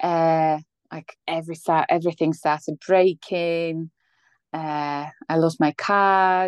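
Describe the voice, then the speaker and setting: A woman with a Polish accent speaks at a very slow pace in a monotone, flat way. The sound is dry and close with no echo, and the background is quiet. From Poland. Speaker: former migrant, office worker. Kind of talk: interview. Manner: hesitant, many fillers.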